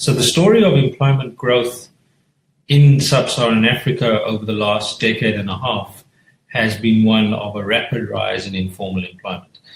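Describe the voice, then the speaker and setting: Music plays behind a man whose voice rests at a medium pitch. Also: ordinary pitch variation, moderate pace. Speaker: economist panelist. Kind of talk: webinar talk. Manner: halting.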